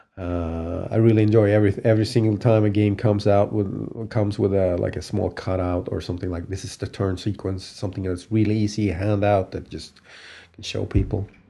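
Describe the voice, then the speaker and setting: Fairly low in pitch, a man talks at a fairly quick pace with fairly even intonation. His voice is somewhat breathy. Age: 40s. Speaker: game shop manager and gamer. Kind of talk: interview.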